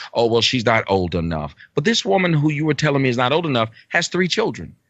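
A man talks at a fairly quick pace with very wide pitch swings and an animated tone. Vocal fry runs through his voice. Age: 40s. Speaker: internet talk show host and social commentator. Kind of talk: casual chat.

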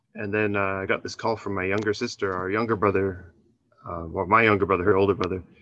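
A man with a Canadian accent talks with a fairly low pitch and monotone, flat intonation. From Canada. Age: 30s. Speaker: English teacher and doctoral student. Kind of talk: personal story and advice call. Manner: halting.

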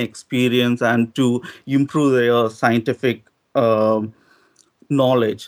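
A man with an Indian accent, at a fairly slow pace. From South India. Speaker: doctoral student, caller. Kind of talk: debate.

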